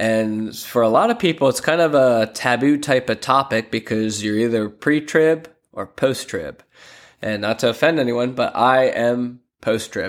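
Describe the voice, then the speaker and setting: A man with an American accent has an ordinary speaking voice at medium pitch, with ordinary pitch variation. He speaks at a fairly slow pace on a very clean recording with a silent background. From Pennsylvania, Lancaster. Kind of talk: casual devotional monologue.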